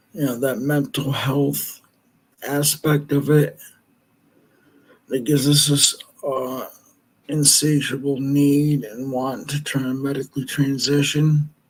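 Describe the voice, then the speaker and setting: A fairly high-pitched, somewhat breathy man at a very slow pace, his intonation monotone and flat. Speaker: video blogger. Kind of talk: casual talk. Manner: halting.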